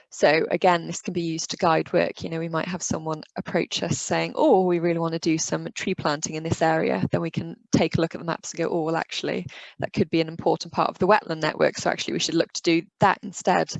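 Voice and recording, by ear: A woman speaks fast in a low pitch, with vocal fry, little pitch movement, and a dry, close sound with no echo.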